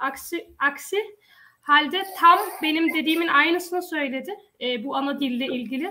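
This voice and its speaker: A woman talks in a raised, projected voice at a high pitch. Her tone is bright and sharp, her pace moderate, and her pitch variation ordinary. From Denmark, Odense. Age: 20s. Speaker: local election candidate. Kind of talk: panel discussion.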